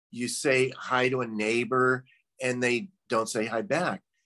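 A man with an American accent talks at a very slow pace in a bright, sharp tone. The sound is dry and close, with no echo. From US Midwest. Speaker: former doctor, meditation practitioner. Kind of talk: casual conversation interview. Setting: video call.

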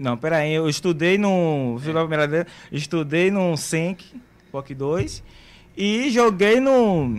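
Very slowly, a man speaks at a fairly high pitch. His intonation is lively. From Bahia, Brazil (Santo Amaro, Camaçari). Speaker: musician and former footballer. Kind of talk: casual interview chat.

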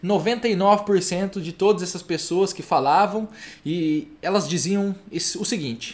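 A man with a high pitch speaks in an animated tone with lively intonation. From Brazil, Maringá, Paraná. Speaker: livestream host on reading habits. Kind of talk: casual live-stream talk. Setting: online live stream.

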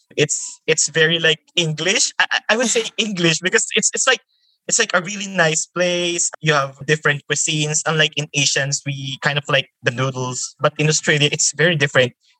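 In a Filipino accent, a man with a bright, sharp tone and ordinary pitch variation talks at a moderate pace with hardly any pauses, the sound dry and close with no echo. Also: fairly high pitch for a man. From Philippines, Metro Manila. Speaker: environmental volunteer. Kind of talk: casual interview. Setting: remote call.

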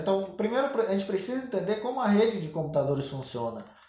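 A man is talking. Audible room echo surrounds his voice. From Santa Catarina, Brazil; grew up from age 10 in Pará. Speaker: computing teacher. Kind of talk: interview.

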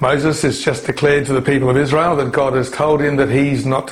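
Amid noticeable background noise and audible room echo, a man talks at a fairly quick pace and a medium pitch. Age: 60s. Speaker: pastor. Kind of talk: sermon.

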